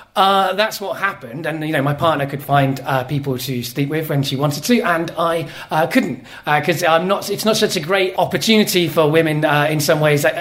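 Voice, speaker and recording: Noticeable background noise sits behind this man. He speaks at a fairly quick pace with fairly high pitch. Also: ordinary pitch variation. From Wales, Cardiff (English-born). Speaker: storyteller. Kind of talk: live storytelling. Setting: stage with audience.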